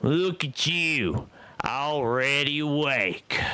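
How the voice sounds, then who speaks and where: In a put-on character voice, a man growls out his words at a very slow pace, gruff and fairly high-pitched, with ordinary pitch variation. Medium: read story. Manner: gruff, blunt.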